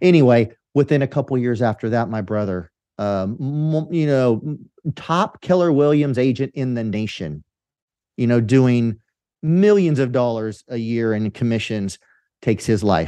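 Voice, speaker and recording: Against a quiet background, a man speaks at a medium pitch. His tone is dark and mellow. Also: moderate pace. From California Central Valley, US. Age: 50s. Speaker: entrepreneur and podcast host. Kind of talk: interview.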